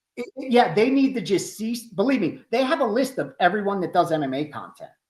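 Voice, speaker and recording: A man speaks at a fairly quick pace in a high pitch. His pitch swings very widely. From Philadelphia, US. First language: Greek. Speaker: sports betting analyst. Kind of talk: podcast interview.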